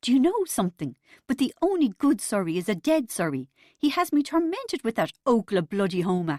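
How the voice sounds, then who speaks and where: A woman uses a put-on character voice that sounds shaky, pitched fairly high. She talks at a fairly quick pace, and her pitch swings very widely. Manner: fake upbeat.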